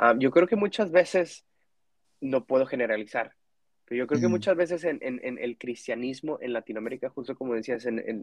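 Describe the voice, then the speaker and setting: At a fairly quick pace, a man talks in an unremarkable speaking voice with medium pitch and ordinary pitch variation. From Mexico. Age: 20s. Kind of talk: casual faith conversation.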